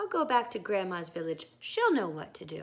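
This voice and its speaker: A female-sounding put-on character voice at middle pitch, calm in tone, at a moderate pace. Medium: read story. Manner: calm, reassuring.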